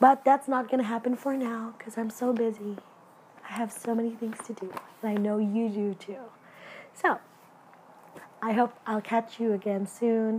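The speech moves at a moderate pace with fairly even intonation and long, frequent pauses. Noticeable background noise runs underneath. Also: woman. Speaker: podcast host, nurse practitioner student. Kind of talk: solo podcast monologue. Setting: home recording.

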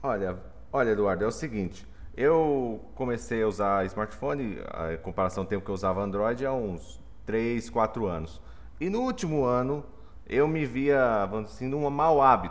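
This man has a normal speaking voice, a medium pitch and lively intonation, and he talks at a moderate pace. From Mato Grosso do Sul, Brazil. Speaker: software engineering professor. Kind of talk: casual chat.

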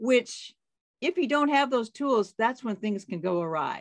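Very wide pitch swings stand out against a quiet background. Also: woman. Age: 60s. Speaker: life coach and author. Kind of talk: casual interview chat. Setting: remote call.

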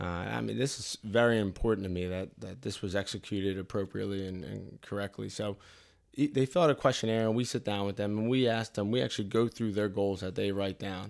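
Talking at a very fast pace, a man uses a fairly low pitch with ordinary pitch variation. The recording is very clean, with a silent background. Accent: Philadelphia. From US Northeast (Delaware County, Pennsylvania). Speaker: physical therapist. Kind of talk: casual chat.

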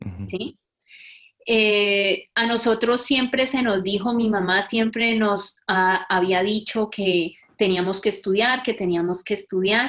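A woman speaks in a normal speaking voice. She talks at a fairly slow pace with a fairly high pitch. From Colombia, Valle del Cauca (Buga). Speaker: physiotherapist and researcher. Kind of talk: interview.

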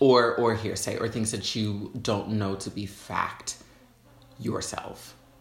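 Noticeable background noise runs under the recording. A man speaks very slowly at a medium pitch. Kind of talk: casual chat. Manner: animated.

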